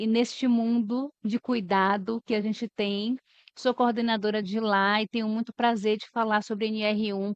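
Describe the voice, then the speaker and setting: The speaker is a woman whose voice has a fairly high pitch. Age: 40s. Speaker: HR manager. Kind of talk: podcast interview.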